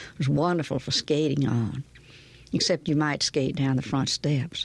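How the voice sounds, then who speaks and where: At a moderate pace, a woman speaks in a very deep, low voice with a gentle tone, fairly even intonation and very even loudness, the sound dry and close with no echo over a quiet background. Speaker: storyteller. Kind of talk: audiobook memoir reading.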